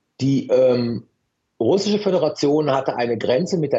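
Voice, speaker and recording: Lively intonation from a man's somewhat breathy voice. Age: 50s. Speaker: professor of international politics, security expert. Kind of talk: radio interview. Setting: remote call via app. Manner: hesitant with fillers and repetitions.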